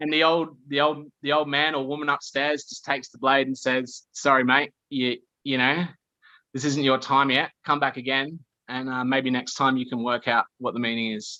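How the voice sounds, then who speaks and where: With an Australian accent, a man speaks at a fairly high pitch in a bright, sharp tone, his loudness swinging widely. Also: moderate pace. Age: 30s. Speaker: podcast guest. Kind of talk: casual chat. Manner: animated.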